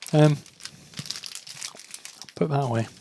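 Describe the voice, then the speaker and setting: A man's fairly high-pitched voice with fairly even intonation, against noticeable background noise. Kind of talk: casual gameplay tutorial voice-over. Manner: mumbly, hesitant.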